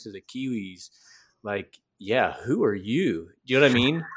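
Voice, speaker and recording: A man speaks at medium pitch and a moderate pace with an American accent, recorded very cleanly against a silent background. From US South. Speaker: podcast host and missionary. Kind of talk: casual interview conversation.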